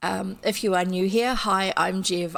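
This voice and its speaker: A woman with a fairly low pitch speaks in a New Zealand accent. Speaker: streamer reading old children's books. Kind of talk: casual chat. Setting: live stream.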